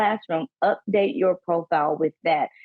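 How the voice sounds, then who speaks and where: In a Southern US accent, a woman speaks with a fairly low pitch and ordinary pitch variation. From US South. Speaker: panelist, college staff trainer. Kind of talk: workshop presentation.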